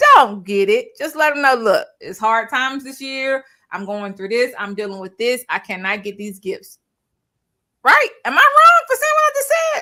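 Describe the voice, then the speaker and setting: Raised and projected, a woman's high, bright, sharp voice carries an animated tone with lively intonation and big swings in loudness. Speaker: online show host. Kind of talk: casual chat. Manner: fast.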